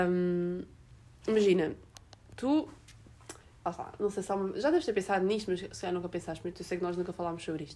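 Her dark, mellow tone moves at a fairly quick pace with ordinary pitch variation, broken by long, frequent pauses. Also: medium pitch for a woman. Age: young. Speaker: podcast host. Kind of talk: casual chat.

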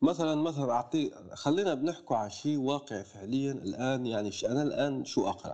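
With hardly any pauses and a moderate pace, a man speaks at a fairly high pitch in a dark, mellow tone with ordinary pitch variation. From Algeria, El Oued (southeast Sahara). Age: 20s. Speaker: writer and content creator. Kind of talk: casual interview.

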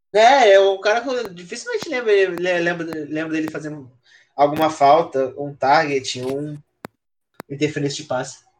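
A man's fairly high voice with lively intonation, a moderate pace and long, frequent pauses. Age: 20s. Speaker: podcast guest, NFL fan. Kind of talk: casual chat.

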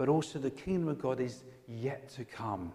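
A man speaks with an English accent in a dark, mellow tone. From England. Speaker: pastor. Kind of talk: sermon.

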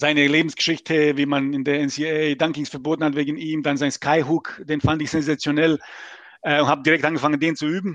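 Against a quiet background, a man with a strong non-native accent speaks very fast in a fairly high, flat monotone, with a dry, close sound and no echo. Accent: strong foreign accent in German. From Bosnia and Herzegovina, Mostar. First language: Serbo-Croatian (speaking German). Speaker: gaming league player. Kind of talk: podcast interview.

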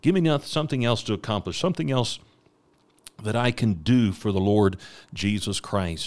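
Pausing long and often, a man speaks at a moderate pace in a fairly low voice with lively intonation, in a very clean recording with a silent background. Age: 40s. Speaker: missionary preacher. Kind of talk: ministry update; devotional podcast sermon. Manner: frequent fillers and repetitions.

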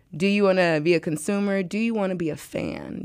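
Moderate pace in an American accent, on a very clean recording with a silent background. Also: woman. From US Midwest, St. Louis. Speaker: event founder and promoter. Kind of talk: casual interview. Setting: studio.

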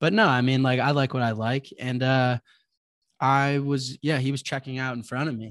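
A man's medium-pitched, plain, everyday voice with an American accent, on a very clean recording with a silent background. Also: fairly even intonation, moderate pace. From Chicago. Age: 20s. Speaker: bitcoin entrepreneur. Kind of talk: casual interview.

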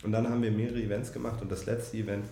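Noticeable background noise and audible room echo surround a man speaking at a fairly low pitch with fairly even intonation. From northern Germany, Hannover. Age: 30s. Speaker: startup founder and software executive. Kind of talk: interview. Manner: hesitant, many fillers.

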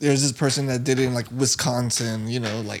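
With an American accent, a man speaks in an unremarkable speaking voice at medium pitch and a moderate pace. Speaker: podcast co-host. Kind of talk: casual chat.

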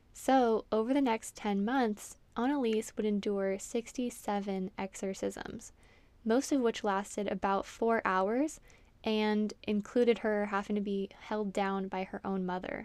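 A woman with an unremarkable speaking voice speaks at a fairly high pitch with fairly even intonation, on a very clean recording with a silent background. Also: fairly slow pace. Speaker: podcast host. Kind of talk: true-crime narration, scripted-sounding, read steadily in a serious storytelling tone. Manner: measured, solemn, even-paced, somewhat monotone and matter-of-fact.

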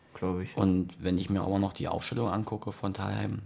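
In a very deep, low voice with vocal fry, a man speaks at a moderate pace with fairly even intonation. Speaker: amateur football podcast host. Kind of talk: casual chat. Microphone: too quiet, far from mic.

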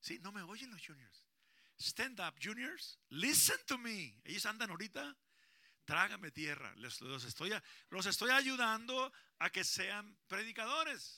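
A man projects a raised voice with a bright, sharp tone, swinging very widely in pitch at a fairly slow pace. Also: very clean recording, silent background. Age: 60s. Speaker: pastor. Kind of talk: sermon. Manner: animated.

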